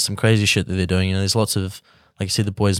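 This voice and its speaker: A New Zealand accent on a very clean recording with a silent background. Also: man. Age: 20s. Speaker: musician. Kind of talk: casual chat.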